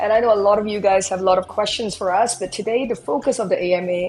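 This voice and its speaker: An animated voice with ordinary pitch variation comes through over music in the background. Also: woman. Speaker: CEO hosting a company AMA. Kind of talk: live online AMA panel.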